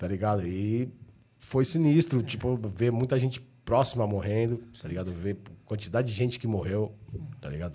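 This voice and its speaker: With a dark, mellow tone and a somewhat breathy quality, a man speaks at a moderate pace and fairly low pitch, his lively intonation broken by long, frequent pauses. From São Paulo, Ipiranga. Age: 40s. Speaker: rapper. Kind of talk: casual chat.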